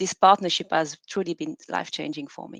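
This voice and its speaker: Lively intonation marks a woman's fairly quick speech. The background is quiet. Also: dry, close sound with no echo. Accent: French. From France, Normandy. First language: French. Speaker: PhD researcher. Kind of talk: conference presentation.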